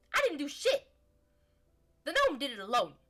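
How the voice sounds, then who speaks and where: This is a high-pitched, put-on character voice. It moves at a moderate pace. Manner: gruff, defensive.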